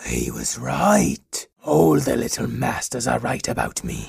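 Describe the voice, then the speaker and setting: Putting on a character voice, a man sounds raspy at a very deep, low pitch. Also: fairly slow pace. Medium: actual play. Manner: nervous, apologetic, laughs nervously.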